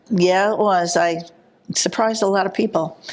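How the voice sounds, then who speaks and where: The speech, with a New Jersey accent, moves at a moderate pace with fairly even intonation. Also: woman. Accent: New Jersey (Hudson County). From New Jersey, Jersey City. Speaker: village trustee. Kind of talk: interview.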